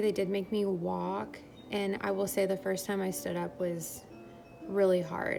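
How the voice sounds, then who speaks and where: Over music in the background, a woman talks at a fairly slow pace with audible room echo. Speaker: vlogger sharing birth story. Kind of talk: casual vlog monologue. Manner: rambling, filler-heavy.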